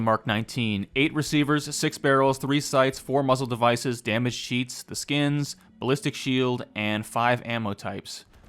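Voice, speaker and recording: At medium pitch and a moderate pace, a man speaks in a plain, everyday voice with ordinary pitch variation. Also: hardly any pauses. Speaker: video game mod reviewer. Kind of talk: game review narration.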